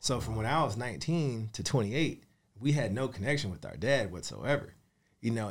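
Heard in a very clean recording with a silent background, a normal speaking voice carries lively intonation. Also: man. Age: 30s. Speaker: real estate investor and mentor. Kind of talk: interview. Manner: casual.

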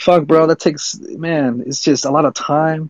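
A man's fairly high pitch, ordinary pitch variation and fairly slow pace. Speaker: listener joining the conversation. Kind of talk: casual group chat. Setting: online audio room. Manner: shy, self-conscious.

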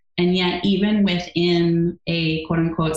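The speaker has an American accent and a somewhat breathy voice, moving at a moderate pace with fairly even intonation. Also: woman. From US Midwest, Wisconsin. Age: 40s. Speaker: yoga therapist and author. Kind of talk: interview.

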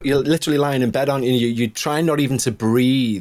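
A man with a Liverpool accent, on a very clean recording with a silent background. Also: dry, close sound with no echo. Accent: Liverpool (Scouse) English. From northern England, Liverpool area. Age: 40s. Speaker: musician and ghost podcast host, guest storyteller. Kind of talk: first-person ghost story narration read aloud; casual chat. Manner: measured, atmospheric storytelling pace.

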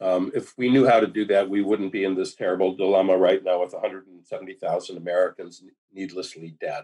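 A man's very deep, low voice at a moderate pace, fairly even in intonation, with hardly any pauses. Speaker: author. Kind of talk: interview. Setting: video call.

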